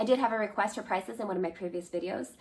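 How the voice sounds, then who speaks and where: Talking at a very fast pace, a woman with an American accent uses a medium pitch, lively intonation and vocal fry. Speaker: homesteading vlogger. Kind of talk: product haul video. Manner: conversational.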